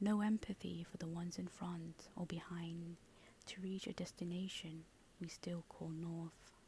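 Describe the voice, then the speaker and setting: Soft-spoken, the speaker talks at a fairly slow pace. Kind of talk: ASMR soft-spoken reflective monologue.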